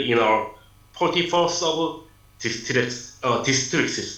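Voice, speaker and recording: In a Korean accent, a man with a fairly high pitch speaks at a very slow pace with ordinary pitch variation and audible room echo. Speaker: city lifelong learning official. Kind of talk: prepared presentation. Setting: video call. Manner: halting.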